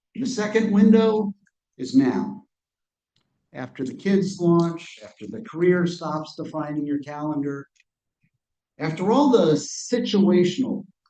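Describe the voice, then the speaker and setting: Fairly high for a man, his voice has a dark, mellow tone and moves at a fairly slow pace. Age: 50s. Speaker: author and speaker on communication and change. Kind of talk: author talk to live audience. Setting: livestreamed talk.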